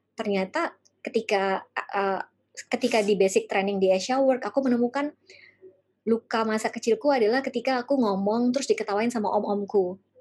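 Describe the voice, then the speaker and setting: A woman's ordinary speaking voice, fairly high-pitched, at a fairly quick pace with ordinary pitch variation. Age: 40s. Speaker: life coach. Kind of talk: workshop talk.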